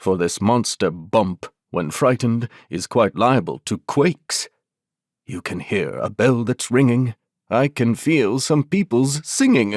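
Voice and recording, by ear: A put-on character voice, slow and with lively intonation, slightly mellow in tone, in a very clean recording with a silent background and a dry, close sound with no echo. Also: woman, extremely low pitch for a woman.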